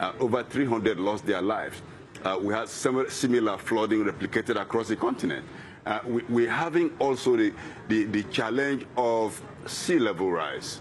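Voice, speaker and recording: At a moderate pace, a man with a medium pitch and ordinary pitch variation talks over noticeable background noise. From Nigeria, Niger Delta. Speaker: environmental activist. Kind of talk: interview.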